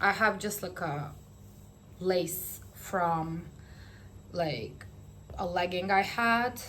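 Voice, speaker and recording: Speaking at a very slow pace with long, frequent pauses, a woman with a non-native accent uses a fairly low pitch, vocal fry and ordinary pitch variation amid audible room echo. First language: not English. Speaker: knitting vlogger. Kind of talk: casual vlog chat. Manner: hesitant, filler-heavy.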